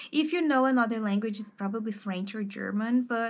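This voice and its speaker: With a Brazilian accent, a woman speaks at a fairly high pitch with ordinary pitch variation against a quiet background. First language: Portuguese. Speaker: book youtuber and English teacher. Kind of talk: casual book review monologue. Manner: informal with frequent fillers.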